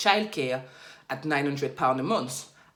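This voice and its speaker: A woman speaks with a French accent. Audible room echo surrounds her voice. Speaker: finance YouTuber. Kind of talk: tutorial.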